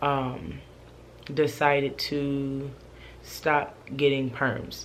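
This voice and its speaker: A woman speaks in a very deep, low voice with flat, monotone intonation. Her pace is very slow, and room echo is audible. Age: 20s. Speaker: vlogger. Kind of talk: casual vlog monologue. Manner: hesitant, many fillers.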